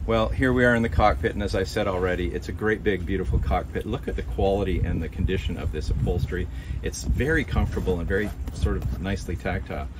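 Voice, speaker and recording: Very deep, low male voice, very fast delivery, noticeable noise in the background. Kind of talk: walkthrough tour commentary. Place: boat. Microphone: phone near.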